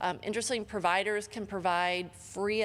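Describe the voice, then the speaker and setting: A normal speaking voice with an American accent at a moderate pace, on a very clean recording with a silent background. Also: woman. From Michigan. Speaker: healthcare lawyer, conference panelist. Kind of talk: conference presentation.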